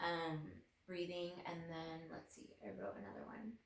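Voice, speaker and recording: There is audible room echo as a woman speaks in a shaky voice at a moderate pace. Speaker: lifestyle vlogger. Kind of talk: casual personal talk to camera. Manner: halting, with fillers.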